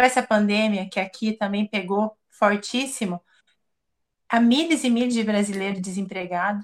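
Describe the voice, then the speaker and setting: A woman with an unremarkable speaking voice talks at a moderate pace, her pitch fairly high with ordinary variation, in a dry, close sound with no echo. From Brazil. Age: 40s. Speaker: emigrant interviewee. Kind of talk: interview.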